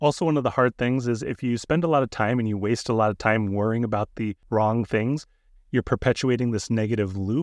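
A man with a normal speaking voice at medium pitch, fairly quick pace and ordinary pitch variation, dry and close with no echo, over a quiet background. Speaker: therapist podcast host. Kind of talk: educational podcast discussion.

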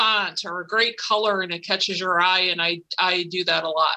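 With an American accent, a woman talks at a moderate pace in a bright, sharp tone, her pitch varying in an ordinary way.

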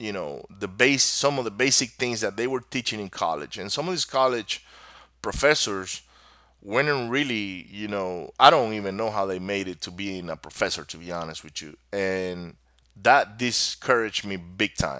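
Speaking with a Venezuelan accent, a man uses a fairly low pitch and a bright, sharp tone at a moderate pace. His intonation is lively, with big swings in loudness. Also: very clean recording, silent background. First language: Spanish. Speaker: podcast host. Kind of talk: solo podcast monologue. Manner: casual, rambling, motivational.

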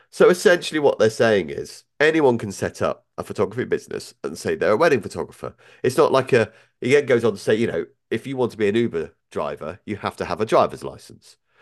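Here a man with a British accent talks at a very fast pace. The background is quiet. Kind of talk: casual chat.

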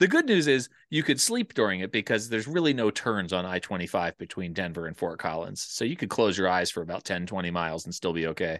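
A man with an American accent talks very fast in a very deep, low pitch with lively intonation. The sound is dry and close with no echo, over a quiet background. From US Northeast, Philadelphia area. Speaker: nonprofit executive director. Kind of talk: casual interview conversation. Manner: halting, frequent fillers.

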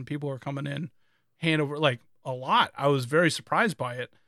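Recorded very cleanly against a silent background, with a dry, close sound and no echo, a man uses a normal speaking voice at a fairly high pitch and a fairly quick pace. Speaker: podcast host. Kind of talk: casual chat. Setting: live stream.

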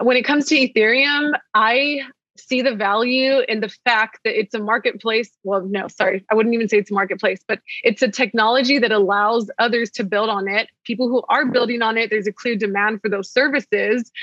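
A bright, sharp American accent at a fairly quick pace, hardly any pauses, in a dry, close sound with no echo. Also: woman, fairly high pitch for a woman. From Texas. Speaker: Bitcoin educator and content creator. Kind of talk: casual interview. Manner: animated.

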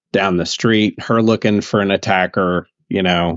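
With a Southern US accent, a man talks in a very deep, low pitch with ordinary pitch variation. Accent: somewhat southern. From US South. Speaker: podcast co-host. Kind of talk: casual chat. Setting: call.

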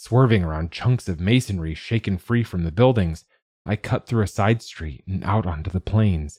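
Simple reading aloud, quiet surroundings

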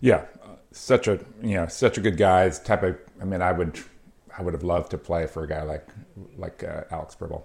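Very deep and low, a man's somewhat breathy voice moves at a fairly quick pace with ordinary pitch variation. He leaves long, frequent pauses. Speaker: podcast host. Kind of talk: casual chat.

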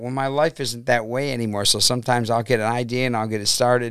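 Very clean recording, silent background. A man with a Northern Ohio accent speaks at a fairly quick pace. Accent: Midwestern American (Northern Ohio). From Cleveland, Ohio (Brook Park). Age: 60s. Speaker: rock musician, singer and keyboardist. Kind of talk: casual interview.

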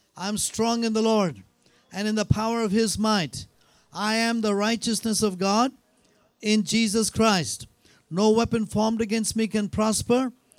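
Over music in the background, a man with a high pitch talks in a monotone, flat intonation. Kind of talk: sermon. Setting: church.

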